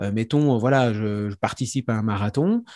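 On a very clean recording with a silent background, a man speaks with ordinary pitch variation in a dry, close sound with no echo. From Franche-Comté, France. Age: 40s. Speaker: professional psychic and speaker. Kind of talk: interview conversation. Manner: hesitant, many fillers.

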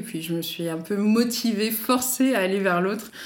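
Amid noticeable background noise, a woman talks at a fairly quick pace with fairly even intonation. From Paris, France. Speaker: doctoral student and association co-founder. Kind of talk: interview.

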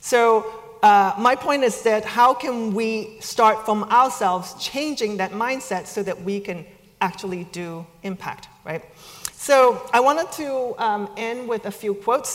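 A woman's fairly high voice at a fairly slow pace, with ordinary pitch variation, over noticeable background noise. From China. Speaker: speaker at a business school event. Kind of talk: talk to an audience. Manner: hesitant, many fillers.

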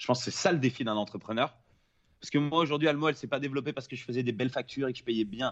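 A man talks at a very fast pace and medium pitch. His loudness swings widely while his pitch varies in an ordinary way. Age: 30s. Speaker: film director, former pro snowboarder. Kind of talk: casual interview.

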